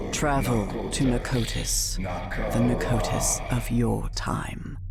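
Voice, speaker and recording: Over loud background noise, a man puts on a character voice and speaks at a very slow pace. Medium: game stream. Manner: cryptic, terse, solemn.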